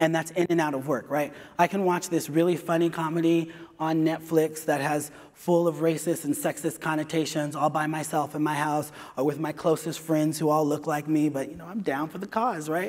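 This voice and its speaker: Over a quiet background, a man with an American accent talks at a fairly quick pace and fairly high pitch. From California. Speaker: HR director and diversity lead. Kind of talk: conference talk. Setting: stage with audience. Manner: animated. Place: stage.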